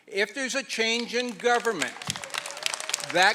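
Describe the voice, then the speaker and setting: In a Canadian accent, a man uses a raised, projected voice with a bright, sharp tone. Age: 60s. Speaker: Métis assembly delegate. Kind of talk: public meeting speech.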